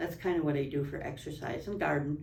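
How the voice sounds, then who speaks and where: A woman's very deep, low-pitched voice with audible room echo. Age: 70s. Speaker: spine surgery patient. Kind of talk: testimony.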